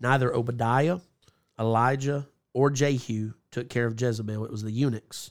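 At a moderate pace, a man with a plain, everyday voice speaks at a medium pitch with fairly even intonation, on a very clean recording with a silent background. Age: 30s. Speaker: evangelist. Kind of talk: casual chat.

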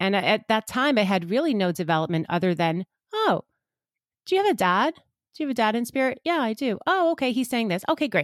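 A woman with a New York accent talks at a fairly quick pace, her fairly high voice swinging very widely in pitch. Her loudness stays very even, and the sound is dry and close with no echo. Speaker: psychic medium and energy healer. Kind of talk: casual interview chat.

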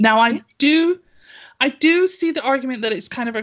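Someone with an English accent talks at a moderate pace, with very wide pitch swings. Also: woman. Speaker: podcast co-host. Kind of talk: casual chat.

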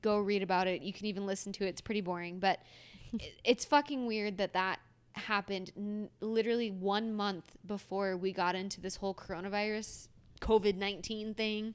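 Here is an ordinary speaking voice from a woman at a medium pitch. She talks at a fairly quick pace with fairly even intonation. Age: 20s. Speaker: podcast co-host. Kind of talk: casual chat.

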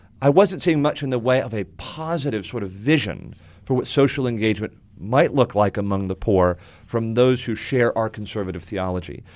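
Here is a man with a plain, everyday voice and an American accent. He talks at a fairly quick pace and a medium pitch. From US South, South Florida. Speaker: pastor. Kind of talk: interview. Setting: studio.

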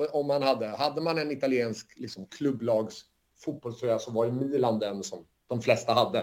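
Here is a man with a normal speaking voice at a medium pitch. He moves at a moderate pace with ordinary pitch variation. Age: 40s. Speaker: football analytics company co-founder. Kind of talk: casual chat.

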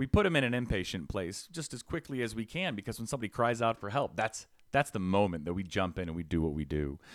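Loud, energetic speech rushes along at a very fast pace with hardly any pauses and very wide pitch swings. The recording is very clean with a silent background. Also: man. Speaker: housing advocate. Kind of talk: podcast interview, personal testimony. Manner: energetic, loud.

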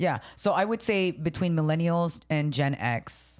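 A woman talks at a fairly slow pace in a very deep, low pitch with lively intonation. The recording is very clean, with a silent background. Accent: Filipino. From San Jose, California. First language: Tagalog. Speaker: podcast co-host, comedian. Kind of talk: casual chat. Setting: studio.

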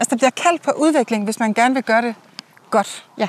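A woman's ordinary speaking voice, fairly high in pitch with ordinary pitch variation, at a fairly quick pace with a dry, close sound and no echo. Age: 40s. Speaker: host's friend. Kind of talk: casual chat. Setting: outdoors.

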